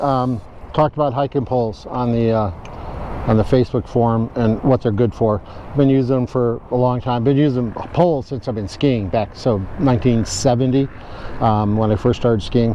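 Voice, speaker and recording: A man's fairly even intonation and moderate pace are heard through noticeable background noise. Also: medium pitch for a man. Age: 70s. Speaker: hiking instructor. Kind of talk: tutorial. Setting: outdoors. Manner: halting, many fillers.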